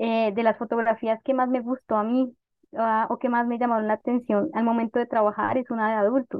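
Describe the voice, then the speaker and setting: In a Bogotá accent, the speaker talks at a fairly quick pace in a flat monotone, with very even loudness. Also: woman, fairly high pitch for a woman. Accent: Bogotá Colombian Spanish. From Bogotá, Colombia. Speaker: historian and author. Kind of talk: interview.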